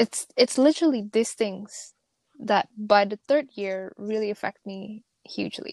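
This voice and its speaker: A woman in an Indonesian accent, fairly high-pitched and fairly slow, with big swings in loudness and a dry, close sound with no echo. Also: ordinary pitch variation. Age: 20s. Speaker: podcast co-host. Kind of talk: casual chat.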